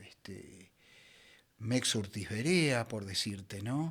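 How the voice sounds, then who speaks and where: A man with lively intonation, on a very clean recording with a silent background. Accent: Rioplatense. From Buenos Aires. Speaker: voice actor. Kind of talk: interview answer.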